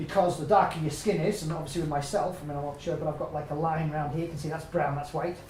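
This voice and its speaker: With an English accent and a fairly high pitch, a man races along at a very fast pace with hardly any pauses, against noticeable background noise and audible room echo. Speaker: health and nutrition speaker. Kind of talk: public talk. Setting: stage with audience. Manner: animated.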